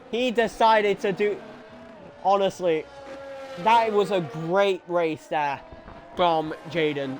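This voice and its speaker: Music plays in the background while the speaker goes at a very slow pace. The intonation is lively, broken by long, frequent pauses. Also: man, high pitch for a man. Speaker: sim racing commentator. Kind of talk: live commentary. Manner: energetic, pushed voice.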